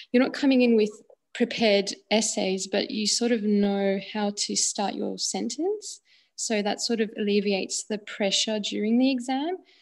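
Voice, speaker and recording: Over a quiet background, a woman with an unremarkable speaking voice and a fairly high pitch talks at a moderate pace with fairly even intonation. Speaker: exam student. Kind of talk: live webinar question.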